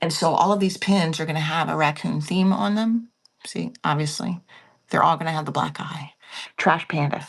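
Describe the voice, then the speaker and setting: Whispering with vocal fry, a woman speaks at a moderate pace. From Pennsylvania. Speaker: online live seller. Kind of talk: live selling stream. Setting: at home, early morning live stream. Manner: soft-spoken.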